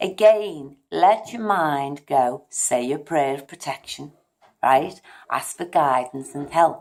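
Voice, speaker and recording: A woman speaks at a very deep, low pitch and a very slow pace. Her intonation is lively, with big swings in loudness. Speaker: psychic medium and tarot reader. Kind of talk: instructional talk to camera.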